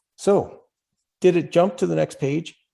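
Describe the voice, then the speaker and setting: In a Canadian accent, the speaker moves at a fairly slow pace with a dark, mellow tone. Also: man. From Canada. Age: 60s. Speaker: club speaker on climate action. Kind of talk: presentation. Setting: video call. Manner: casual, conversational.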